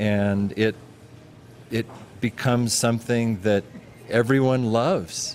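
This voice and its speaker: A man talks at a very slow pace with long, frequent pauses as noticeable background noise goes on. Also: medium pitch for a man, fairly even intonation. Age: 60s. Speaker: bakery owner. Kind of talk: interview.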